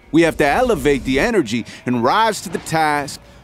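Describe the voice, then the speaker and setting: A man at a fairly slow pace, very wide pitch swings, music in the background. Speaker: spoken word poet. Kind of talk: spoken word poetry performance. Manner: rhythmic, impassioned.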